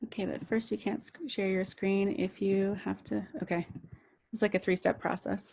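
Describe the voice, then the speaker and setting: This woman's voice has vocal fry, sitting at a medium pitch with ordinary pitch variation. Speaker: political trainer. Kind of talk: training presentation. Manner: fast.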